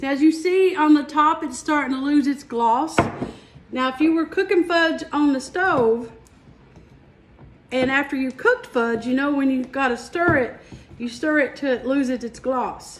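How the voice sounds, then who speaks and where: The pace is moderate and the pitch varies in an ordinary way, with noticeable background noise underneath. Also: woman, high pitch for a woman. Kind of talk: homey, rural.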